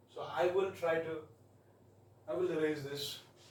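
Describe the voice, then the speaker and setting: A fairly high-pitched man with an Indian accent at a moderate pace, with audible room echo and noticeable background noise. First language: Hindi. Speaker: math tutor. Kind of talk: tutorial. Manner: halting. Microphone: quiet, voice not very audible.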